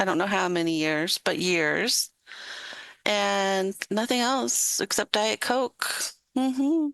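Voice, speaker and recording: With very wide pitch swings and very even loudness, a woman speaks at medium pitch and a very slow pace in a dry, close sound with no echo and a quiet background. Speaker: guest host of a live talk stream. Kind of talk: casual live-stream chat. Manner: animated; slurring words.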